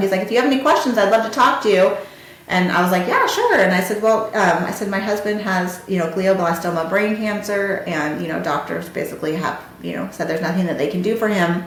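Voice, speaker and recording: A woman's animated, medium-pitched voice with an American accent, at a very fast pace, amid audible room echo and noticeable background noise. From US, Marietta area. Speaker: podcast host. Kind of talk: personal storytelling.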